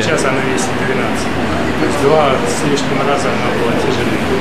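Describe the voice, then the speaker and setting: A man speaks at a moderate tempo while loud background noise fills the recording. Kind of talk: interview answer. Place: workshop. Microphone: camera far.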